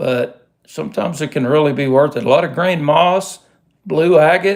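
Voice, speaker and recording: In a very clean recording with a silent background, a man with a Texas accent talks at a moderate pace in a relaxed tone, his fairly high pitch showing ordinary variation. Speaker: rockhound hobbyist youtuber. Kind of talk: casual livestream show-and-tell. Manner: relaxed, hesitant with fillers.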